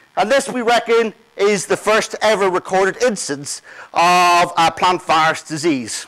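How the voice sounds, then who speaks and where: A man's high-pitched voice with an Irish accent. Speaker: plant pathologist, conference speaker. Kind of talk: conference talk.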